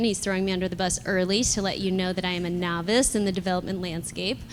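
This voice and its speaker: An unremarkable speaking voice, its intonation fairly even. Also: woman. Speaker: property developer. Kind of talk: live panel discussion. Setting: live event with audience.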